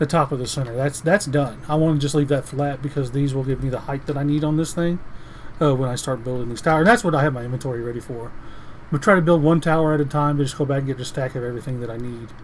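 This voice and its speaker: Against noticeable background noise, a man talks at a very fast pace with a fairly high pitch and fairly even intonation. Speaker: Minecraft YouTuber and streamer. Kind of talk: gameplay commentary. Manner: halting, many restarts and fillers.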